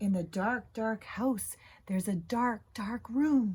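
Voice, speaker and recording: In a put-on character voice that sounds female, someone whispers at a very slow pace. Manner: whispering, spooky.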